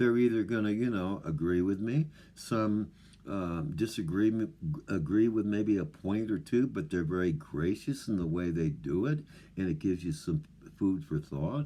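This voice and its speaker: Against a quiet background, a man mumbles in a fairly low, dark, mellow voice with lively intonation at a moderate pace. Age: old. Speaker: off-grid living vlogger. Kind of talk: casual monologue to camera. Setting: remote wilderness home. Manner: mumbling; halting, many fillers.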